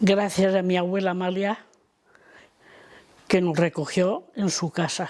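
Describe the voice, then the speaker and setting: A woman at medium pitch, fairly slow, with flat, monotone intonation and long, frequent pauses. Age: 80s+. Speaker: elderly daughter of a repression victim. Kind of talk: testimony.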